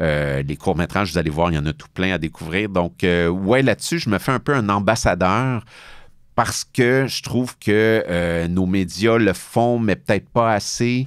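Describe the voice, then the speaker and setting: A man with a Quebec accent, fairly low in pitch, at a fairly slow pace with lively intonation, in a very clean recording with a silent background. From Quebec, Boucherville (Montreal south shore). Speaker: film critic. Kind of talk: interview. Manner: hesitant, many fillers.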